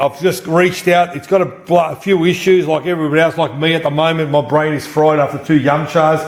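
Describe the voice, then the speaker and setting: Amid noticeable background noise, a man talks at a fairly quick pace in an animated tone with an Australian accent. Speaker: pinball and slot machine repairer. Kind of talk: casual chat. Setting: at a friend's place with people present.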